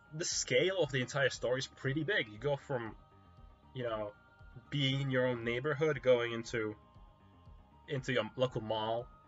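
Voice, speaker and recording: Over background music, a man talks at a moderate pace and medium pitch with ordinary pitch variation, leaving long, frequent pauses. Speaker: video game reviewer. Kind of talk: casual talk to camera. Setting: quiet home recording.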